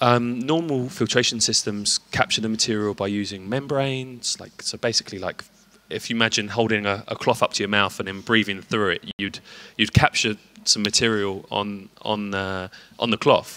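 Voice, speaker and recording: With a British accent, a man with a fairly low voice speaks at a moderate pace and with fairly even intonation. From UK. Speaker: company representative at tech show. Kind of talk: interview. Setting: trade show floor. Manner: hesitant, many fillers.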